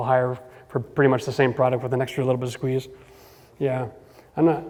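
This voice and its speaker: Noticeable background noise surrounds the recording. A man with a Canadian accent talks at a very fast pace. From Ontario, Canada (Cambridge). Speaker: home renovation expert. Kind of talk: Q&A talk with audience.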